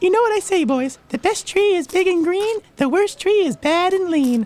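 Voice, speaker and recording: This is a put-on character voice. It is squeaky and pitched extremely high. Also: moderate pace. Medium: read story.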